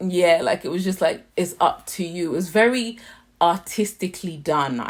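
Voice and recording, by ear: Ordinary pitch variation marks this voice, heard with a British accent. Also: woman.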